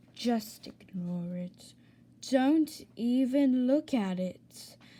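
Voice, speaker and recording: A woman's high-pitched put-on character voice with lively intonation and a very slow pace. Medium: read story. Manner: exasperated.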